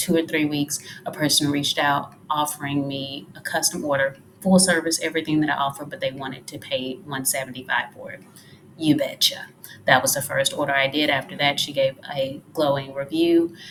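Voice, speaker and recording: A woman talks quietly at a fairly quick pace, her pitch very deep and low. Her intonation is monotone and flat, while her loudness swings widely. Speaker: freelance social media manager. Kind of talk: tutorial. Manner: quiet, talking low.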